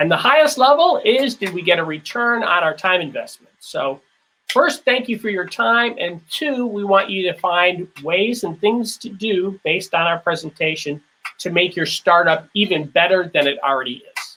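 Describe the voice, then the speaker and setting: With an American accent, a man projects a raised, high-pitched voice that has a bright, sharp tone and lively intonation. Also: moderate pace. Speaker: keynote speaker, former theme park company leader. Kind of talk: lecture.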